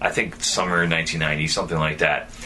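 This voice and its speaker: Through noticeable background noise and audible room echo, a man speaks at a very deep, low pitch with ordinary pitch variation. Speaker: podcast host. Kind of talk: casual chat. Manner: stuttering.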